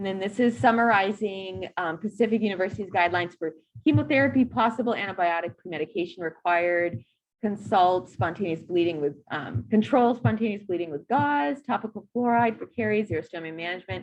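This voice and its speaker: A woman with a medium pitch talks at a fairly quick pace, her intonation lively. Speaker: dental hygiene instructor. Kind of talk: recorded lecture. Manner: fast.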